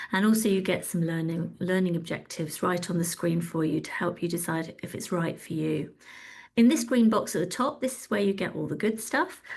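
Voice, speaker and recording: Against a quiet background, a woman with a fairly low pitch and a somewhat breathy voice talks at a fairly quick pace. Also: ordinary pitch variation. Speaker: webinar host, communications director. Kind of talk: product demo in a webinar. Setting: online webinar. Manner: fast.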